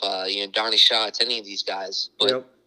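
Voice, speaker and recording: The tone is bright and sharp. The sound is dry and close with no echo, on a very clean recording with a silent background. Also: man. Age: 20s. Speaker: sprint car racing driver. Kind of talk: casual interview.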